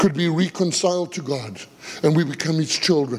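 A man talks at a moderate pace in a high pitch. His pitch variation is ordinary. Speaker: pastor. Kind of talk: sermon. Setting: church. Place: church. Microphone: headset.

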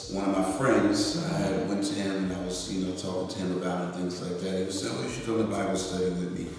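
A man with a very deep, low pitch talks with hardly any pauses. There is strong room echo and light background noise. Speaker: interview guest. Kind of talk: interview answer. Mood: earnest, personal story. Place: meeting room.

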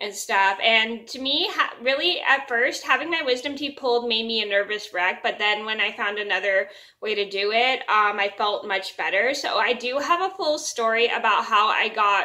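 A woman's bright, sharp tone at a moderate pace, with ordinary pitch variation and a quiet background. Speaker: vlogger. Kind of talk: casual vlog chat. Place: home room. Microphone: phone near.

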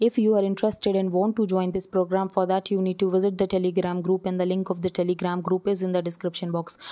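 A woman with a medium pitch and a dark, mellow tone speaks in a monotone, flat intonation at very even loudness with hardly any pauses, in a dry, close sound with no echo. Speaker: exam coaching educator. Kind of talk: lecture.

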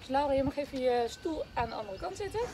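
A woman talking at a very fast pace over loud background noise. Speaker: fitness instructor. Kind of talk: workout instruction. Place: open country. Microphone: camera far.

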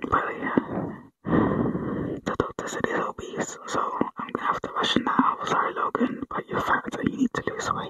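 Whispering at a moderate pace. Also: woman. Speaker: ASMR creator. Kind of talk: ASMR whispered talk to camera in a gas mask. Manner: whispered, muffled, soft-spoken. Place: home room. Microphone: earbuds.

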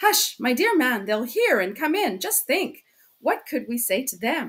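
Using a put-on character voice, a woman speaks at a fairly slow pace with high pitch, big pitch swings, a fairly bright tone and a slightly husky edge.

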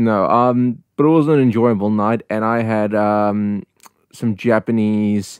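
A man speaks with a New Zealand accent at a fairly low pitch. His pace is fairly slow and his intonation fairly even. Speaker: podcast co-host. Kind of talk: casual chat. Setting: online voice call.

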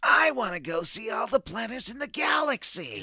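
A put-on character voice comes through at a fairly high pitch. It moves at a moderate pace. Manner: eager, anime-style.

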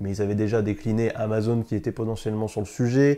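This man speaks at a medium pitch in a dark, mellow tone against a quiet background. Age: 20s. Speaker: tech news streamer. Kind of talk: casual chat. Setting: studio. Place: studio.

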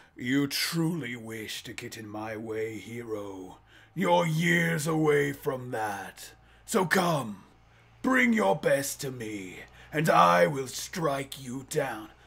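Using a put-on character voice, a man at medium pitch speaks at a very slow pace with very wide pitch swings. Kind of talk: villain monologue. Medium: solo performance. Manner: grandiose, menacing, contemptuous.

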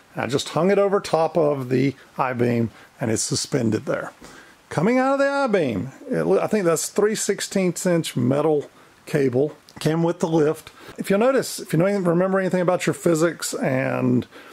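This man speaks with a high pitch at a moderate pace. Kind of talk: tutorial. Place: workshop.

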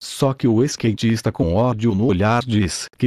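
With a Brazilian accent, a man speaks fairly slowly at a medium pitch in a dark, mellow tone, with ordinary pitch variation. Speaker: gaming commentator. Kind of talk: playful gaming commentary, mock sports-style narration of a Habbo trade duel. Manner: animated, exaggerated, joking.

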